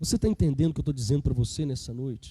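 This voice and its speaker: A man's dark, mellow tone. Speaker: preacher. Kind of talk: sermon.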